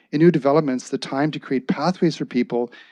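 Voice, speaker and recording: Over a quiet background, a man talks in a plain, everyday voice with ordinary pitch variation. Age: 60s. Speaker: public delegate at council meeting. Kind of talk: public comment speech. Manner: formal.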